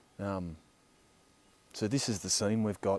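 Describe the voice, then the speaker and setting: A man speaks at a fairly low pitch with a dark, mellow tone and fairly even intonation. The recording is very clean, with a silent background. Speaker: landscape photographer and workshop leader. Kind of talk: vlog commentary on location. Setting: outdoors in mountains. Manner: hesitant, many fillers.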